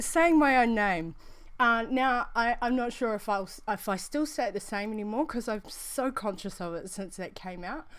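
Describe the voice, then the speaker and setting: In a New Zealand accent, a woman speaks in a fairly high voice with lively intonation. The recording is very clean with a silent background. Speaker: vaping show host. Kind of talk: casual chat. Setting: live stream. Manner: fast; halting.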